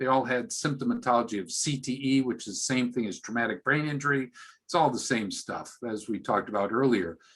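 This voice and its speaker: Ordinary in pitch variation, a man with an unremarkable speaking voice talks at a medium pitch. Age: 60s. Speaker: physician. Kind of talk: interview.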